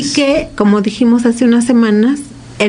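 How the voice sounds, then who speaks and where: With noticeable background noise and audible room echo, a woman speaks at a moderate pace using ordinary pitch variation. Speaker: radio co-host. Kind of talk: radio talk show discussion.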